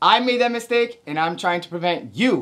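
A man's moderate pace of speech stands out over a quiet background. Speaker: army recruiter and drill sergeant. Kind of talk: tutorial. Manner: animated. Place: home room.

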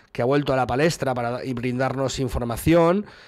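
Over a quiet background, a man with a Spanish accent talks with fairly even intonation. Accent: Spanish (Spain). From Spain. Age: 40s. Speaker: gaming news streamer. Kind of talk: news commentary video. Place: home room. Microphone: studio mic.

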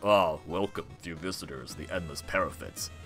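Over clear background music, a man uses a put-on character voice, very deep and low, with fairly even intonation at a moderate pace.

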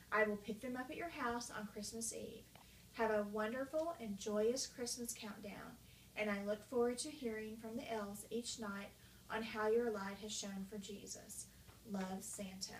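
Over light background noise and audible room echo, a woman talks at a moderate pace with fairly even intonation. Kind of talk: reading a letter aloud. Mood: warm, festive. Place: home room. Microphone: camera far.

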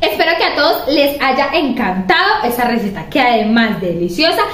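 A woman at a fairly high pitch and fairly quick pace, with lively intonation and audible room echo.

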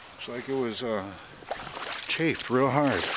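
A man at a fairly slow pace, dry sound with no echo, and noticeable background noise. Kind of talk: casual fishing commentary. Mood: pleased, curious. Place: waterside. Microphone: phone near.

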